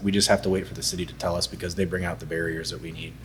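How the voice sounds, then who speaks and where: A man's voice carries ordinary pitch variation. Noticeable background noise can be heard with it. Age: 30s. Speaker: brewer. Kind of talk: casual chat.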